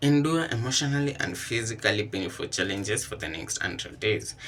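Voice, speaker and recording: A man with a non-native accent speaks in a bright, sharp tone with vocal fry and lively intonation. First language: not English. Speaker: vlogger job hunting. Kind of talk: casual vlog commentary. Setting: kitchen.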